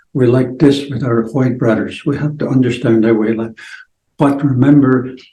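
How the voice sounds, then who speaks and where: With audible room echo, a man speaks at a moderate pace in a medium pitch, with a dark, mellow, somewhat breathy tone and monotone, flat intonation. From Blackfoot reserve, Alberta, Canada. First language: Blackfoot. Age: 70s. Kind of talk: interview. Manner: halting.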